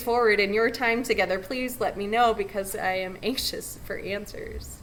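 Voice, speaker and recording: With an American accent and a fairly high pitch, a woman speaks at a moderate pace with ordinary pitch variation against noticeable background noise. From California. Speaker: pastor. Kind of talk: invocation address.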